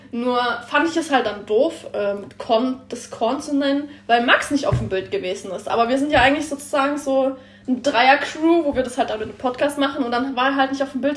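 A high-pitched woman talks fairly quickly with ordinary pitch variation, noticeable background noise behind her. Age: 20s. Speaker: trainee car mechatronics technician. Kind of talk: casual chat.

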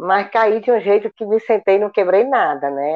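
A woman's ordinary speaking voice, fairly slow, with lively intonation. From Ceará, Brazil (interior). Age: 60s. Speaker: retired school principal and teacher. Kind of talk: personal testimony in interview.

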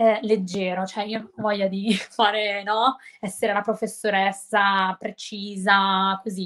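Someone speaks at a fairly slow pace in a monotone, flat way, with big swings in loudness. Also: woman, medium pitch for a woman. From Milan area, Italy. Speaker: English teacher on social media. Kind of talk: casual interview chat.

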